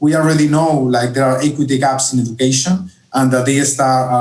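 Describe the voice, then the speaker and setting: A man speaks at a medium pitch. His intonation is fairly even. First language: Spanish. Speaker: education policy analyst. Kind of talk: online conference Q&A.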